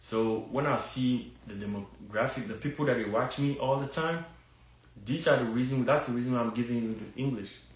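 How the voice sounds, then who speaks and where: Speaking at a fairly quick pace with a strong Ghanaian accent, a man uses a medium pitch and ordinary pitch variation, with audible room echo. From Ghana, Takoradi. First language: a Ghanaian language. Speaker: fitness content creator. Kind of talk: live stream monologue. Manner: casual, repetitive with many fillers.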